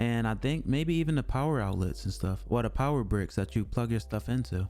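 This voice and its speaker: The man has a dark, mellow tone at a medium pitch. He keeps a fairly quick pace and very even loudness. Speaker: streamer. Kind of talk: casual monologue. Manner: monotone.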